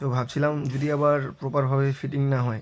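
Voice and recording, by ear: At a fast pace, a man talks at a medium pitch.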